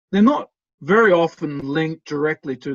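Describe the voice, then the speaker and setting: A man with an Australian accent talks at a moderate pace and a fairly high pitch. His pitch varies in an ordinary way, and the sound is dry and close with no echo. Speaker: professor. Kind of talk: lecture. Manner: hesitant, many fillers.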